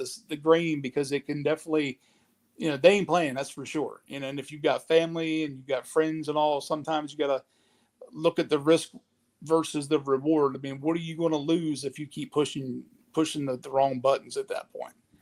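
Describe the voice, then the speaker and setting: Using monotone, flat intonation, a man with a Southern US accent and fairly high pitch talks at a fairly quick pace with big swings in loudness. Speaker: streamer. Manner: halting, repeats words.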